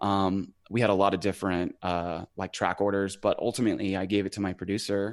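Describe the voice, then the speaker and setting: A man speaks fairly quickly with a Western US accent, his pitch fairly low and his intonation fairly even. The background is quiet. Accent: American, Western US. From Idaho (small farm town). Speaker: singer-songwriter. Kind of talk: casual interview.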